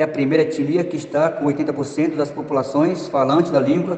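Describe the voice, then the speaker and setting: With an Amazonian accent, a man speaks at a fairly high pitch and fairly slow pace, amid noticeable background noise and audible room echo. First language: Tikuna (speaking Portuguese). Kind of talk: interview answers.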